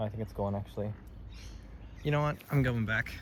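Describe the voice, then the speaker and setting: Here a man talks at medium pitch with a slight Australian accent. His pace is fairly quick. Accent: weak Australian. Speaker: vlogger. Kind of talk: casual vlog narration. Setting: outdoors, on a bush walk.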